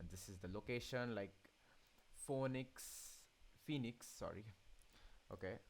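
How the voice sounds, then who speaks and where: A man with a non-native accent speaks with ordinary pitch variation and long, frequent pauses. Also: medium pitch for a man, fairly slow pace. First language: not English. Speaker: gaming tutorial youtuber. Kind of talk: tutorial. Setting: voiceover over screen capture. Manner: stuttering; halting, many fillers.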